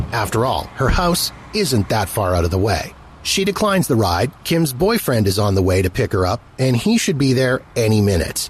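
With a dramatic tone, a man at a medium pitch makes very wide pitch swings while holding his loudness very even. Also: moderate pace. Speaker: podcast host. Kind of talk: true-crime narration. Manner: measured, storytelling tone, dramatic and suspenseful.

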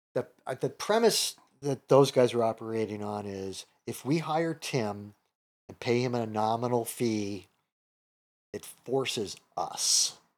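A medium-pitched man with an American accent at a fairly slow pace, with long, frequent pauses and big swings in loudness. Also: ordinary pitch variation. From Chicago, US Midwest. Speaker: comedian and comedy teacher. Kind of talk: casual interview chat.

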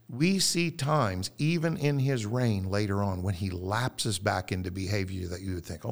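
At a moderate pace and a fairly low pitch, a man talks in a normal speaking voice on a very clean recording with a silent background. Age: 50s. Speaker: pastor. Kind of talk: casual chat.

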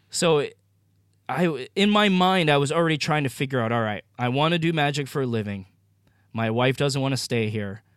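A man with a plain, everyday voice and an American accent talks at a fairly quick pace with lively intonation, on a very clean recording with a silent background. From Maine, US. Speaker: magician and entrepreneur. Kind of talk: interview conversation.

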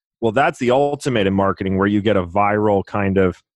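This is a man with an unremarkable speaking voice, fairly low in pitch. He talks at a fairly quick pace with fairly even intonation. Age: 30s. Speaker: real estate investor. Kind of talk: interview conversation.

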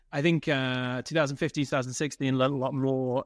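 With a British accent, a man talks at a very fast pace using fairly even intonation. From United Kingdom. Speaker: tech company CEO. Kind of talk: interview.

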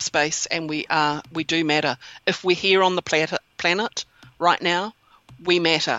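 A woman with a New Zealand accent talks at a fairly slow pace. Her pitch is fairly low and her intonation fairly even. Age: 50s. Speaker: yoni egg practitioner. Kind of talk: interview conversation.

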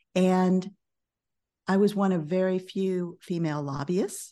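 A woman speaks with an American accent at a medium pitch. Her tone is dark and mellow, and the background is quiet. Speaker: business coach and author. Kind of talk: interview. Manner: calm.

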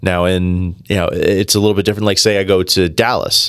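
Monotone and flat, a man with an American accent and fairly low pitch talks at a fairly quick pace on a very clean recording with a silent background. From New Jersey. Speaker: food expert. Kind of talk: casual chat.

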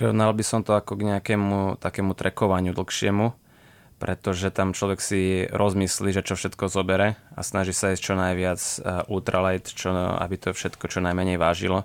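In a dry, close sound with no echo and a silent background on a very clean recording, a man speaks with a very deep, low pitch and monotone, flat intonation. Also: moderate pace. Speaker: horseback traveller. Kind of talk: radio interview. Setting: studio.

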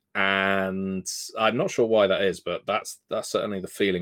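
Recorded very cleanly against a silent background, a man talks with a British accent. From UK. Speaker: tabletop game designer. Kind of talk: podcast interview.

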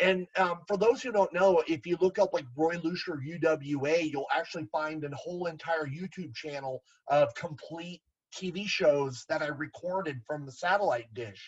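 This man has a high-pitched voice with an American accent. His pitch varies in an ordinary way, while his loudness swings widely. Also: moderate pace. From Southern California (Garden Grove). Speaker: wrestling figure collector. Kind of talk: casual chat.

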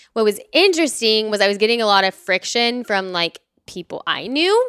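A woman with an American accent speaks at a moderate pace in a bright, sharp tone. The recording is very clean, with a silent background and a dry, close sound with no echo. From Texas, Dallas. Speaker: patient empowerment coach. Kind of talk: casual interview.

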